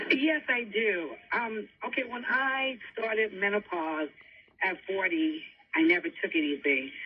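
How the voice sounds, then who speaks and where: At a fairly slow pace, a woman with a fairly high pitch speaks with very wide pitch swings over noticeable background noise. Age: 60s. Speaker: caller. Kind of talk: radio call-in question.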